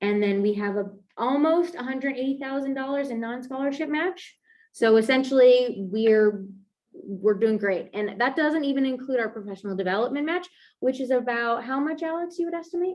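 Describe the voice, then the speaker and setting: Lively intonation comes through at a fairly quick pace. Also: woman, high pitch for a woman. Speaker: program data coordinator. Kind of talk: presentation seminar. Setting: hybrid seminar, in person and online. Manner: fast.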